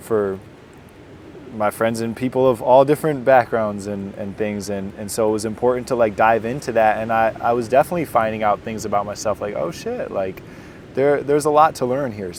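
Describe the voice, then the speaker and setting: Over noticeable background noise, a man with an Inland North US accent talks at medium pitch and a moderate pace with ordinary pitch variation. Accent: American, Inland North. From US, western New York (Jamestown). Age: 30s. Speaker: basketball mental health coach. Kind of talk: casual chat. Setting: outdoors on a beach. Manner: halting, many repeated words.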